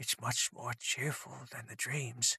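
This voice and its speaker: A man puts on a raspy character voice at medium pitch and a fairly slow pace. The sound is dry and close, with no echo. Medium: read story. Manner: small, timid voice.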